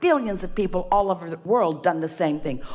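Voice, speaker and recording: Against noticeable background noise, a woman talks at a fairly quick pace with lively intonation. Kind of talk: spiritual teaching / workshop talk.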